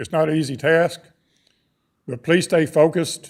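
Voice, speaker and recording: At a moderate pace, a man talks in a Texan accent with a fairly high voice. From Texas. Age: 60s. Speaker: public commenter at school board meeting. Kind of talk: public comment speech. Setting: boardroom public meeting.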